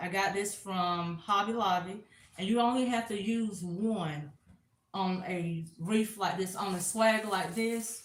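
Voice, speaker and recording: A woman speaks with a Southern accent at a fairly slow pace, her pitch medium and her voice somewhat breathy. Room echo is audible. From US South, South Carolina. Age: 40s. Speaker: crafter. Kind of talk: live craft tutorial. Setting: livestream on camera.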